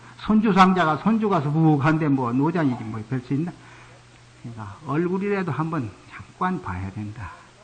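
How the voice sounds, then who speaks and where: With audible room echo, a man at a moderate pace speaks in a fairly high voice, his pitch swinging very widely and his loudness rising and falling sharply. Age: 60s. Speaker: Buddhist monk. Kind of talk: sermon.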